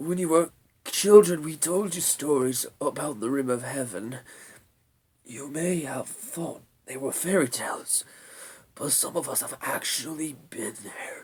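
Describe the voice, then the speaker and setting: A man's put-on character voice, husky and fairly high in pitch, at a fairly slow pace. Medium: read story. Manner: slow, weary, solemn.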